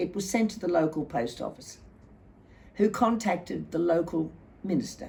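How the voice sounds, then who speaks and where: Her fairly low voice carries vocal fry and a dark, mellow tone as the woman talks at a moderate pace. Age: 80s+. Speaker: war widow's daughter recalling family history. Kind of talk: personal recollection, oral history.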